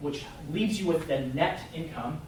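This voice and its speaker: A man with a fairly high pitch speaks amid audible room echo and noticeable background noise. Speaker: real estate investor presenting to agents. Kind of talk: presentation to a group. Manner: fast; casual, filler-heavy.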